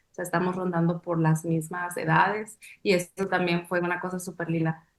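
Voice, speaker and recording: Speaking with a monotone, flat intonation, a woman has a fairly low pitch. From Mexico, Sonora. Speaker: dancer and choreographer. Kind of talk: interview. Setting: webcast. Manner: reflective, with many fillers.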